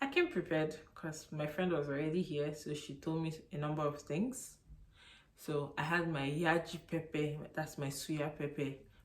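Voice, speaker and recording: Her pitch is very deep and low for a woman. She keeps a moderate pace with fairly even intonation. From Nigeria. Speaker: YouTuber. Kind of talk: casual vlog talk.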